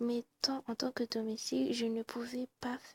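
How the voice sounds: Natural reading voice throughout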